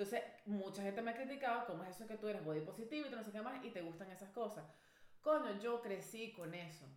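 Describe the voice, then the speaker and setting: In a Venezuelan accent, a woman talks at a very fast pace with a fairly high pitch and lively intonation, with audible room echo. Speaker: podcast co-host. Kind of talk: casual chat. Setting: studio. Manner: animated.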